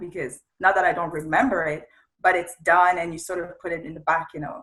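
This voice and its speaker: Speaking at a fairly quick pace, a woman with a fairly low pitch talks in a French accent. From Congo, Central Africa. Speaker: media entrepreneur. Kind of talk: interview.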